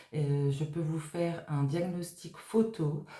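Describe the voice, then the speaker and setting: Audible room echo surrounds a woman's dark, mellow, somewhat breathy voice. She speaks at a very slow pace. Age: 50s. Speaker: tarot card reader / medium. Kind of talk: tarot reading monologue. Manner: halting, many hesitations.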